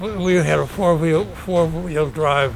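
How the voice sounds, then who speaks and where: A man with an American accent talks at a moderate pace and a fairly high pitch. His pitch varies in an ordinary way, and there is noticeable background noise. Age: 80s+. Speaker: war veteran. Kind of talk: casual chat. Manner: halting.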